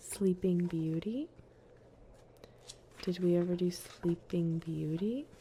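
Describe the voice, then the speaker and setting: A woman speaks at a very slow pace with long, frequent pauses and fairly even intonation. Her voice is fairly low in pitch, somewhat breathy, with a dark, mellow tone. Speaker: ASMR streamer. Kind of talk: fairy tale reading. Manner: whispered, soft.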